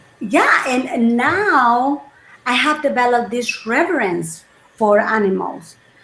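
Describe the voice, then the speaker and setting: A woman speaks at a fairly slow pace in a high pitch, her intonation lively. There is noticeable background noise. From El Salvador. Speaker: wellness coach. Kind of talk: interview chat.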